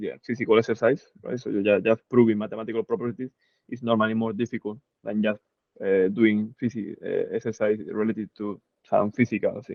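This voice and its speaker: This man speaks fairly quickly at a medium pitch. His intonation stays flat and monotone. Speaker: physics instructor. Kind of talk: lecture. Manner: halting.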